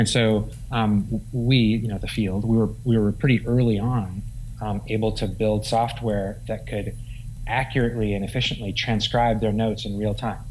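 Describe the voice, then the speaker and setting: The delivery is monotone and flat at a moderate pace. Audible room echo surrounds the voice. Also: man, fairly low pitch for a man. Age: 40s. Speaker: physician and health tech founder. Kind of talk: interview. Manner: halting.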